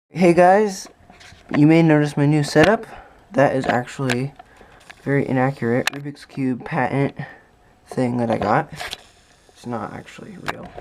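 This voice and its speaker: The speech has long, frequent pauses, and background noise is noticeable. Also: moderate pace. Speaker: cubing youtuber. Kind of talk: unboxing video. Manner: casual.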